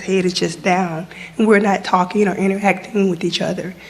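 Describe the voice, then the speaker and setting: Over noticeable background noise, a woman talks at a fairly quick pace in a medium pitch with monotone, flat intonation. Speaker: audience member. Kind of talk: audience question.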